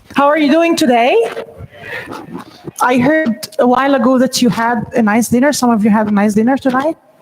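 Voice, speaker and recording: A woman with an Egyptian accent at a high pitch, fairly quick pace and very even loudness, with ordinary pitch variation, long, frequent pauses and noticeable background noise. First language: Arabic. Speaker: NLP trainer and coach. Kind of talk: training presentation.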